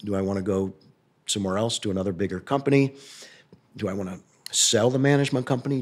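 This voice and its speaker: Someone speaks at a very fast pace in a Midwestern American accent. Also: man. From US Midwest, St. Louis, Missouri. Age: 60s. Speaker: real estate company founder. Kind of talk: interview. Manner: hesitant, many fillers.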